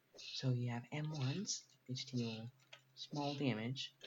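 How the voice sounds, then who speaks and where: Whispering, a man sounds somewhat breathy. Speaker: gaming video creator. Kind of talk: game tutorial. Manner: halting.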